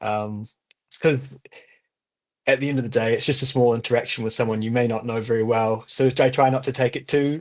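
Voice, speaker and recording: With a New Zealand accent, a man speaks at a fairly quick pace in a medium pitch with fairly even intonation. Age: 20s. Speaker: language student. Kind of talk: interview. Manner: halting.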